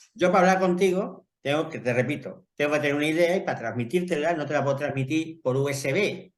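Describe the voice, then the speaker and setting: Speaking with an Extremaduran accent, a man moves at a fairly quick pace, his fairly high pitch showing ordinary variation. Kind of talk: casual chat.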